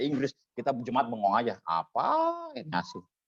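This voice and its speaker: A man with a strong Javanese accent. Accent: thick Javanese. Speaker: preacher teaching homiletics. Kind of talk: lecture. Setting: church service with small audience.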